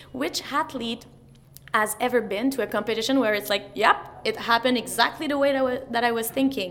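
At a moderate pace, a woman with a Quebec accent speaks in a high voice. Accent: Québécois French-accented English. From Quebec, Montreal. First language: French. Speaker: mental performance coach. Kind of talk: interview.

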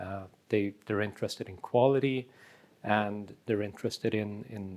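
Fairly low in pitch, a man speaks at a fairly slow pace with a Swedish accent. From Sweden. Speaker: magazine editor. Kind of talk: casual chat over drinks.

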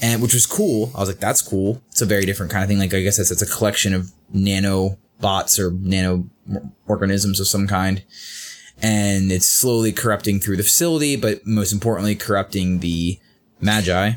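A normal speaking voice from a man, fairly low in pitch, at a fairly quick pace with very even loudness. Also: fairly even intonation. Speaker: podcast co-host. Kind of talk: casual chat. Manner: playful.

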